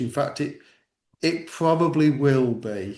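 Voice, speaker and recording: A man speaks with an English accent at a fairly slow pace and a fairly high pitch. The background is quiet. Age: 60s. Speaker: church network director. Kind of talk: interview discussion. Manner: halting.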